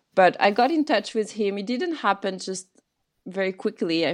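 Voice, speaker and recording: The speaker is a woman with a French accent. She talks at a moderate pace. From France. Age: 30s. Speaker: Buddhist teacher and herbal medicine practitioner. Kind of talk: interview conversation.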